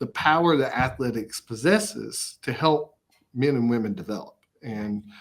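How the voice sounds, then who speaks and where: Man at a moderate pace, medium pitch and lively intonation. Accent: East Tennessee. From Upper East Tennessee. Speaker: college athletics director. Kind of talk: interview. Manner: frequent fillers and repetitions.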